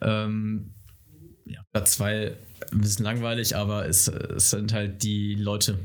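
A man speaks with a fairly low pitch. Room echo is audible. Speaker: guest. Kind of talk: casual chat. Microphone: too far from the mic.

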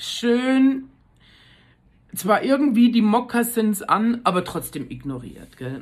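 A woman at a very slow pace, with long, frequent pauses, lively intonation and big swings in loudness. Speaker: podcaster. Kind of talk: casual monologue. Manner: animated.

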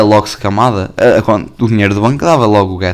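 Speaking at a fairly quick pace, a man with a European Portuguese accent has an animated tone. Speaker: podcaster. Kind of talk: casual chat.

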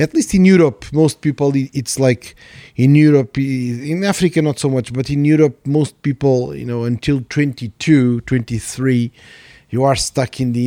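In a Portuguese accent, a man speaks at a moderate pace with lively intonation, a fairly high pitch and a dark, mellow tone, the sound dry and close with no echo and the recording very clean against a silent background. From Portugal. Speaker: podcast host, economist. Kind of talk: casual chat.

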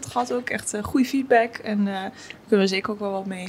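A woman with ordinary pitch variation talks over noticeable background noise. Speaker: podcast co-host. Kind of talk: casual chat.

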